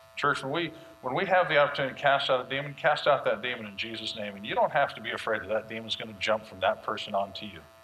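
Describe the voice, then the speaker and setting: Talking very fast with hardly any pauses, a man at a medium pitch uses lively intonation and big swings in loudness over noticeable background noise. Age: 40s. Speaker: pastor. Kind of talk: sermon.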